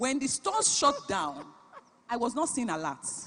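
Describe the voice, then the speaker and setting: A woman with a Nigerian accent speaks with very wide pitch swings over noticeable background noise. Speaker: business founder and CEO, conference speaker. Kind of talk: keynote talk.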